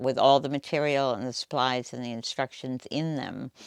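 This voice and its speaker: On a very clean recording with a silent background, a woman with a very deep, low pitch sounds dry and close with no echo. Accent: American. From US Northeast, Boston area. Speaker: quilt shop owner, retired nurse. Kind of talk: interview monologue.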